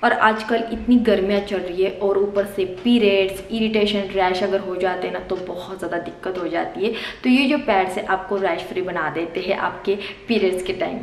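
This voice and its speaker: Music in the background and audible room echo around a woman's voice. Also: fairly even intonation, moderate pace, hardly any pauses. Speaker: vlogger. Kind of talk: sponsored product review vlog. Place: home room.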